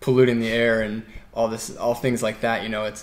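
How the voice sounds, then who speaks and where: Using a normal speaking voice, a man of medium pitch talks at a fairly quick pace. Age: 20s. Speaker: off-road motorcyclist. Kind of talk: interview testimony.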